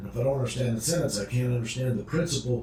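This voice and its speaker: Noticeable background noise runs through the clip. Room echo is audible as well. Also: man. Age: 60s. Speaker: addiction recovery podcast co-host. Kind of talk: casual instructional chat. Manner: halting, repeated words.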